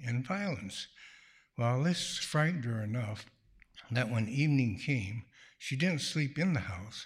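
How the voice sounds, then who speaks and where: The delivery is fairly slow and somewhat breathy, with lively intonation. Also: man. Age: 80s+. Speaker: retired pediatrician, storyteller. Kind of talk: live storytelling. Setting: stage with audience in a church.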